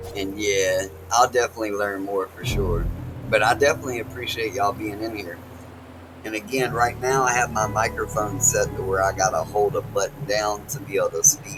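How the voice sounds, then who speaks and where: With an American accent, the speaker talks at a fairly quick pace with ordinary pitch variation while music plays in the background. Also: man, fairly low pitch for a man. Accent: country accent, strong. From North Carolina, US. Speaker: game streamer. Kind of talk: casual live-stream chat. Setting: home, family asleep nearby. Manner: halting, repetitive.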